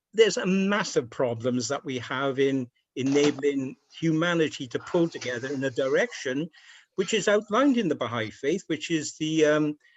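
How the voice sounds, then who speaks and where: In a Welsh accent, a man with a fairly high pitch talks at a moderate pace using lively intonation. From Wales, Cardiff. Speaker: speaker. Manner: halting.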